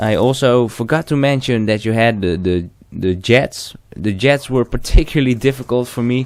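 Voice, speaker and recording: With a non-native accent, a man of medium pitch talks at a moderate pace using ordinary pitch variation. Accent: non-native English, trouble with th sound. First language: not English. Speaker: gaming commentator. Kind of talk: gaming commentary monologue. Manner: halting, frequent false starts and fillers.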